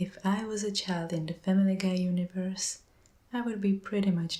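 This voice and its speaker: A soft-spoken woman talks at a moderate pace with a medium pitch. Her intonation is monotone and flat. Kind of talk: casual talk to camera, soft-spoken ASMR narration.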